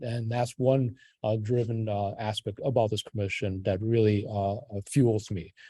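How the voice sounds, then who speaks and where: Against a quiet background, a man talks at a moderate pace in a dark, mellow, somewhat breathy tone. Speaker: city commissioner. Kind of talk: public meeting introduction. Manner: halting, many fillers and restarts.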